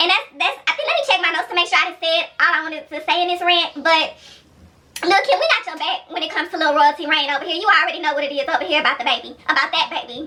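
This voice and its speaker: Shouting in a raised, projected voice, a woman speaks at a very fast pace and an extremely high pitch, animated in tone with ordinary pitch variation. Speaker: YouTube vlogger. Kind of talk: opinion rant vlog. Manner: loud, yelling. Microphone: camera's built-in mic, no external microphone.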